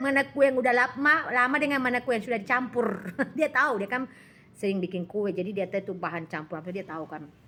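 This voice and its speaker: Over noticeable background noise, a woman talks at a very fast pace in a fairly high pitch, her tone animated and her intonation lively. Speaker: live-stream seller. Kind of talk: casual live-stream chat. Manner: loud.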